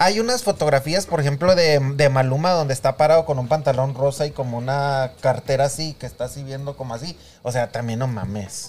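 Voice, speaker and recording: A man with a fairly high, somewhat breathy voice speaks at a fairly quick pace. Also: ordinary pitch variation, hardly any pauses. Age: 50s. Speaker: podcast co-host. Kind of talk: casual chat.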